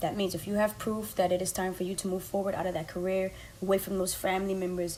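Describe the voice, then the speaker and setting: A woman talks at a very fast pace in a medium pitch. Noticeable background noise runs under her voice. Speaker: podcast host, life coach. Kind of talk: motivational podcast monologue. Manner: animated.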